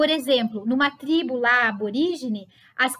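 High-pitched female speech, intonation lively throughout. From Brazil, Sorocaba (São Paulo state). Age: 40s. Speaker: psychologist and psychoanalysis lecturer. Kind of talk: casual interview conversation.

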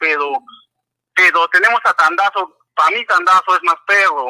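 A man's raised, projected voice, high-pitched with a bright, sharp tone, at a fairly slow pace. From Peru, Arequipa. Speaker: caller, football fan. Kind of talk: call-in opinion.

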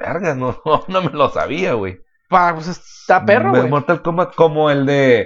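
A man's fairly high voice with a Mexican accent, at a fairly slow pace with ordinary pitch variation. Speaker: podcast co-host. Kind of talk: casual chat.

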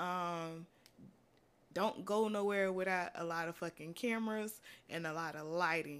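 A normal speaking voice from a woman, medium-pitched with ordinary pitch variation, at a moderate pace in a very clean recording with a silent background. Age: 20s. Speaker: podcast host and college student. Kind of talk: casual monologue. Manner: casual, conversational with filler words.

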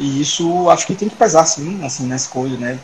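Noticeable background noise fills the recording. The words come fairly quickly, with ordinary pitch variation. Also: man. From Salvador, Bahia, Brazil. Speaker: digestive surgeon. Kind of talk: casual interview.

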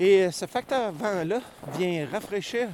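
Lively intonation from a man at a very slow pace, over noticeable background noise. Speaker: podcast host. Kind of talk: outdoor walking narration. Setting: outdoors on a tundra hike. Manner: hesitant, many fillers.

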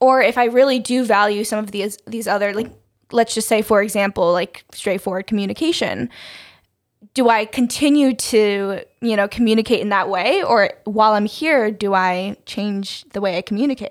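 In a very clean recording with a silent background, a woman with an American accent speaks in a plain, everyday voice, with fairly high pitch and ordinary pitch variation. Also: moderate pace. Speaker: podcast co-host. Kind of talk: casual chat.

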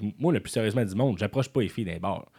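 This recording is very clean with a silent background. The voice belongs to a man. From Quebec City area, Quebec. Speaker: comedian. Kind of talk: casual chat. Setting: studio.

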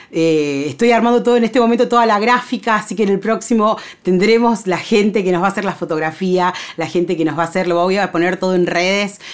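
A woman's medium-pitched voice with a Rioplatense accent, a very fast pace and ordinary pitch variation. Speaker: podcast host. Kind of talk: casual monologue. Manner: chatty, filler-heavy.

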